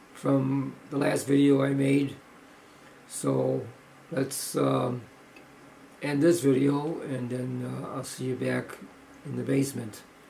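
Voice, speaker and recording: A man's very slow speech with long, frequent pauses and audible room echo. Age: 70s. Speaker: powerlifter vlogger. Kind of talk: video log. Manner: halting, many fillers.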